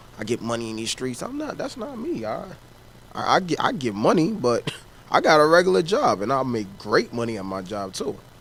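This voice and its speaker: Noticeable background noise surrounds a man speaking at a fairly quick pace. His pitch swings very widely. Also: medium pitch for a man. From US Northeast, Harlem, New York. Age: 20s. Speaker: rapper. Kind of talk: interview.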